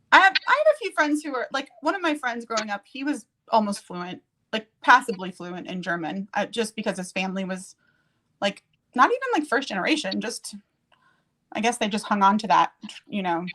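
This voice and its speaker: A woman with an American accent speaks at a fairly quick pace and a fairly high pitch, her pitch swinging very widely and her loudness rising and falling sharply. The sound is dry and close, with no echo. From USA. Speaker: live streamer. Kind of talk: casual chat. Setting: live stream. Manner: fast.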